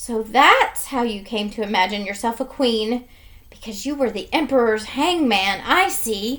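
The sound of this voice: With ordinary pitch variation, an unforced reading voice carries the text.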